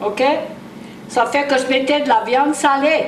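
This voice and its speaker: A woman with a Cajun accent speaks at a fairly slow pace in a high voice. There is noticeable background noise. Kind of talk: cooking instructions to camera. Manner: casual, chatty.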